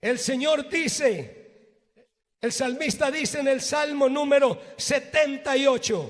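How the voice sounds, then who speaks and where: Speech unfolds at a very slow pace with ordinary pitch variation. Audible room echo can be heard. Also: man, extremely high pitch for a man. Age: 60s. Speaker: pastor. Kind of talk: sermon.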